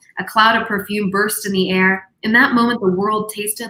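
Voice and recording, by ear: Intonation stays fairly even as the speaker is reading aloud in a natural voice.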